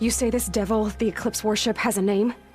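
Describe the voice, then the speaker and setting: Over clear background music, a woman growls in a put-on character voice at a fairly high pitch, fairly quick in pace, with monotone, flat intonation and very even loudness. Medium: video game. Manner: direct, firm.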